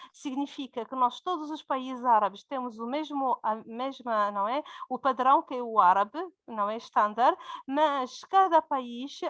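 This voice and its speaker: With a Berber accent, a woman speaks fairly slowly in a high voice with ordinary pitch variation, the sound dry and close with no echo. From Morocco. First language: Berber (speaking Portuguese). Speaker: university lecturer. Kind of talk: conference talk. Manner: halting, many fillers.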